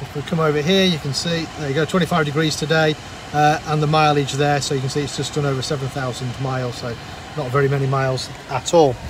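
Fairly quick speech with fairly even intonation. The sound is dry with no echo, but noticeable background noise is present. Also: man. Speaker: car salesman. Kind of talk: car walkaround presentation. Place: car. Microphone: phone near.

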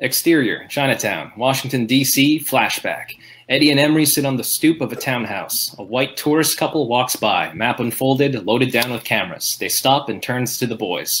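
Moderate pace with hardly any pauses, plus light background noise. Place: home room.

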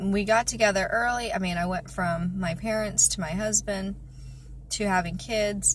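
Speaking at a moderate pace, a woman comes through with dry sound and no echo. Light background noise is present. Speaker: vlogger. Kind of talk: casual vlog chat. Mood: reflective, personal. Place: car. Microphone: phone near.

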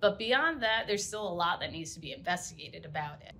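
A woman's bright, sharp tone moves through very wide pitch swings. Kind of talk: interview answer. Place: office.

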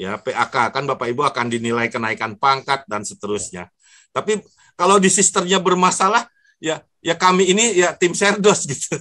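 A man speaks in a high voice at a moderate pace, his pitch swinging very widely. The tone is bright and sharp against a quiet background. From Jakarta, Indonesia. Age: 60s. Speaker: professor. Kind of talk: webinar lecture. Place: home room. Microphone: earbuds.

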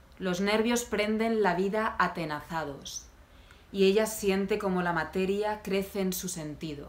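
Delivered at a fairly slow pace, the voice carries an intense, dramatic tone with ordinary pitch variation. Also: woman, medium pitch for a woman. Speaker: poet. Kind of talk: poem reading. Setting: video channel, self-recorded. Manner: intense, dramatic, deliberate delivery; conversational, wry tone in intros. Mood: calm, somber, intimate. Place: home room. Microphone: phone near.

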